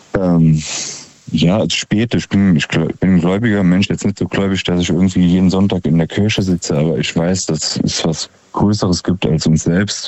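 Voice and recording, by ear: Low in pitch, a man talks at a moderate pace with fairly even intonation. His tone is slightly mellow.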